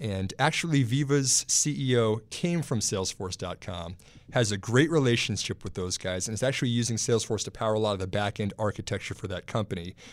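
A man with a plain, everyday voice speaks at a fairly quick pace in a fairly low pitch with lively intonation, on a very clean recording with a silent background. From Texas. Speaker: stock market analyst. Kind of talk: casual chat. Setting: studio.

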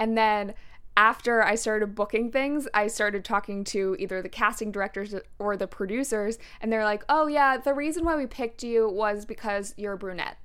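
At a moderate pace, a woman with an ordinary speaking voice talks in a fairly high pitch with ordinary pitch variation, recorded very cleanly against a silent background. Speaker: podcast host. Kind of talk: casual interview chat.

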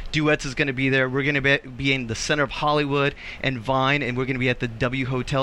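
This man talks at a fairly quick pace with a fairly high pitch. Noticeable background noise runs under the recording. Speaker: after-show host. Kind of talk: casual panel chat, live show. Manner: animated.

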